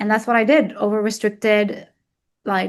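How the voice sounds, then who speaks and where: Against a quiet background, a woman with an Arabic accent speaks at a fairly high pitch with fairly even intonation. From Egypt. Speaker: weight loss coach. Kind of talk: interview testimony.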